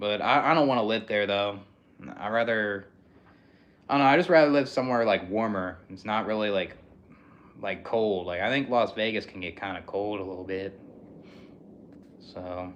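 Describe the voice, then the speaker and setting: Using long, frequent pauses and big swings in loudness, a man with an American accent speaks in a fairly low pitch. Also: moderate pace. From Philadelphia, US. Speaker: livestreamer. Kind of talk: casual livestream chat. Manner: monotone.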